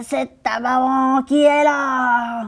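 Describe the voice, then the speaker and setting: Doing a put-on character voice, a woman speaks at a high pitch in a hoarse tone. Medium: read story. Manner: sly, deceptive.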